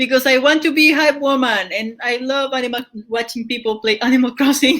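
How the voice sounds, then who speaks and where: Loud and high-pitched, a woman speaks at a fairly quick pace with fairly even intonation. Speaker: podcast host and streamer. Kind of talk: casual chat.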